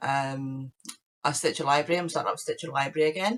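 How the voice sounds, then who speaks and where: Here a woman speaks with a British accent. Her very deep, low pitch comes at a fairly quick pace. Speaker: crafting podcaster. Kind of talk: casual chat.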